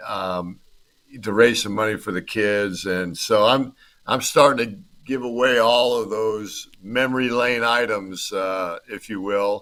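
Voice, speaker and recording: On a very clean recording with a silent background, a man with a US Midwestern accent speaks at a fairly slow pace and fairly low pitch, his bright, sharp tone paired with fairly even intonation and big swings in loudness. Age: 60s. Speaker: former football player. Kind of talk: casual interview chat.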